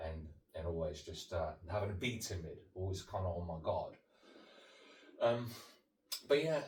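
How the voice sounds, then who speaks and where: A man with a fairly low pitch speaks at a moderate pace, leaving long, frequent pauses. His pitch swings very widely, and audible room echo surrounds him. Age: 30s. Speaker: sobriety coach. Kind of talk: interview about life story. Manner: halting, many fillers.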